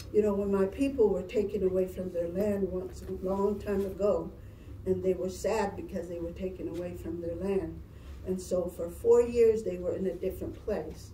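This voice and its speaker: A woman speaks with a Southwestern US accent. There is audible room echo and light background noise. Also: moderate pace. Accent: Navajo-accented English. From Navajo Nation, northern Arizona; Arizona. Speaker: cultural presenter; presenter. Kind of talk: presentation to children. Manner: halting. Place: classroom. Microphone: camera far.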